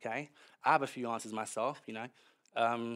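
Over a silent background in a very clean recording, a man talks at a moderate pace. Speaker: preacher. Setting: church. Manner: animated, energetic, interactive, upbeat and conversational.

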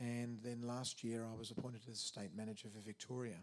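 A man's medium-pitched voice with an Australian accent, at a moderate pace. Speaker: prison chaplain and preacher. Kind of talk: sermon. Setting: church.

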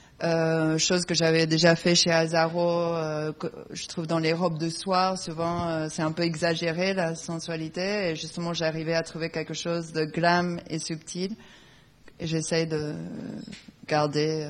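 With long, frequent pauses, a woman speaks at a fairly low pitch in monotone, flat intonation. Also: fairly slow pace. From Argentina, raised in England. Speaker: fashion designer. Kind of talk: panel talk.

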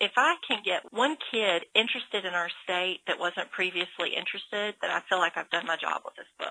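A woman's medium-pitched voice with ordinary pitch variation and hardly any pauses. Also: fairly quick pace. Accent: Southern US. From Georgia. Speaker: author and illustrator. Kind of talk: interview.

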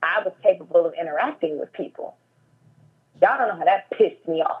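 A woman speaks at a moderate pace. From Chicago suburbs, US Midwest. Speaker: associate producer. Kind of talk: casual interview. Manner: loud.

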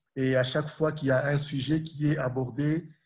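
Somewhat breathy and monotone, a man speaks at a very slow pace with flat intonation. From Burundi, Congolese parents. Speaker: humanitarian worker and social media history storyteller. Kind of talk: interview.

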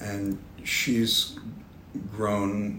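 Audible room echo frames a man speaking at a fairly low pitch with ordinary pitch variation. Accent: New York. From New York City. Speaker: art director and author. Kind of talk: casual chat. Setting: office.

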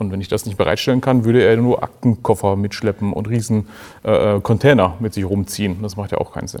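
A man talks in a plain, everyday voice with fairly low pitch. His pace is fairly quick and his intonation fairly even. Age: 40s. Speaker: business analyst. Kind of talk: panel discussion.

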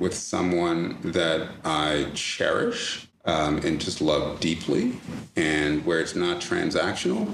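Noticeable background noise sits behind a man who talks at a very slow pace with very even loudness. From Jamaica, then East Orange, New Jersey. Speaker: attorney. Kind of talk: interview.

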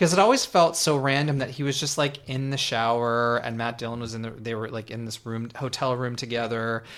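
Here a man talks at a fairly quick pace with hardly any pauses. His pitch is medium, his intonation fairly even, and he has an unremarkable speaking voice. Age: 30s. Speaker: podcast co-host. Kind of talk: scripted intro; casual chat.

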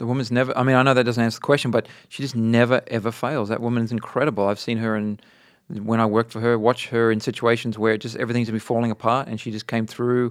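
On a very clean recording with a silent background, a man with an Australian accent talks at a very fast pace, his medium pitch held in a monotone, flat intonation. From Australia, Adelaide and Darwin. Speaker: portrait photographer. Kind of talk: casual interview chat.

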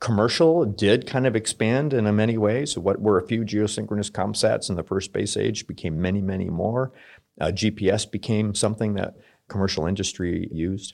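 A man with an American accent talks at a fairly quick pace in a plain, everyday voice. His pitch is fairly low with ordinary variation, and the background is quiet. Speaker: military officer. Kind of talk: interview.

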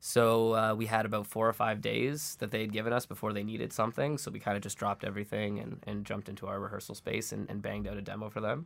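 A very fast delivery in a Canadian accent, with hardly any pauses, in a very clean recording with a silent background. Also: man, fairly low pitch for a man. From Toronto, Canada. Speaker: indie band member. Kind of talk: interview.

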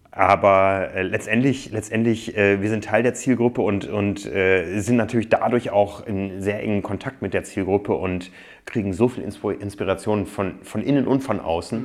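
Moderate speed and fairly even intonation from a man pitched fairly low. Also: hardly any pauses. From northern Germany, Osnabrück. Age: 40s. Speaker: magazine publisher and triathlete. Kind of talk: interview conversation. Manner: hesitant with many fillers.

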